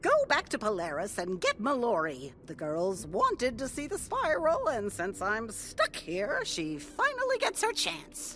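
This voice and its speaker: A put-on, female-sounding character voice at a moderate pace with hardly any pauses, over clear background noise. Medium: video game. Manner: curt, commanding.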